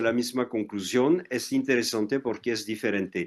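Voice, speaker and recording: A man with a French accent. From France. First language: French (speaking Spanish). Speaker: historian and anthropologist. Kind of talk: interview. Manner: halting.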